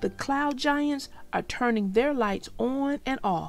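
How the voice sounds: A woman's put-on character voice, high-pitched with vocal fry, at a slow pace over faint music in the background. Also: lively intonation.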